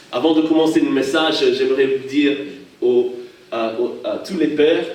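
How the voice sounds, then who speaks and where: A man's fairly slow speech, with audible room echo and noticeable background noise. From Hawaii. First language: English (speaking French). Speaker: pastor. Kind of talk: sermon. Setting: church. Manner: halting.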